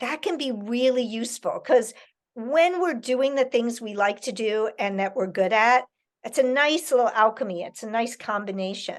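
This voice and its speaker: In a quiet background, a woman with an unremarkable speaking voice talks at a moderate pace, fairly high in pitch with ordinary pitch variation. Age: 60s. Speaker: author and educator. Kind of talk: Q&A with school children over video call.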